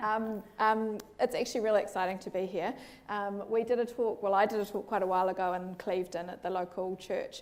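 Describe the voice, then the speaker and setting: A woman with a New Zealand accent talks at a fairly quick pace in a monotone, flat delivery at medium pitch, on a very clean recording with a silent background. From New Zealand, Auckland. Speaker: clinical psychologist. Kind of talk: public talk. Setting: school hall with audience.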